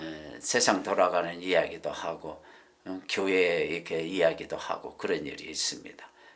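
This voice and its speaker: A man talking at a fairly slow pace, with audible room echo and noticeable background noise. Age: 70s. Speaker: preacher. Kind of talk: sermon. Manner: halting, with many fillers.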